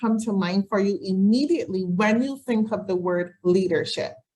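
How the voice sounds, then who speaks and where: Lively intonation with a somewhat breathy sound. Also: woman. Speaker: leadership trainer. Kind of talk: webinar presentation. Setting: video call. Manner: fast; clear.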